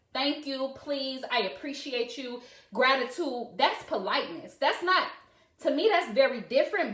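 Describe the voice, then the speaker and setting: Woman with high pitch, lively intonation and an animated, passionate tone, at a moderate pace, with audible room echo. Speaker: live-stream host discussing parenting. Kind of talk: live stream monologue answering comments. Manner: loud.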